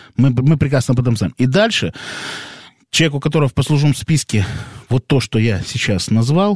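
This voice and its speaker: Talking at a fairly quick pace, a man uses a normal speaking voice of medium pitch with lively intonation, the sound dry and close with no echo. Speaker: radio co-host. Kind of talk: casual radio chat. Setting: radio studio.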